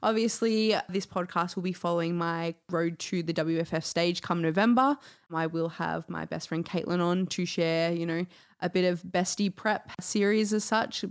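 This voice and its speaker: A woman with an unremarkable speaking voice talks at a moderate pace. Her pitch is fairly low and her intonation fairly even. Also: very clean recording, silent background. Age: 20s. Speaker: health and well-being coach. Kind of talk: casual chat.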